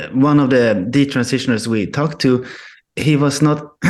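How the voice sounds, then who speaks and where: Speaking in a Swedish accent at a fairly slow pace, a man of medium pitch holds very even loudness and fairly even intonation, with long, frequent pauses. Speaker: filmmaker. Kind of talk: radio interview. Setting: remote call. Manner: halting.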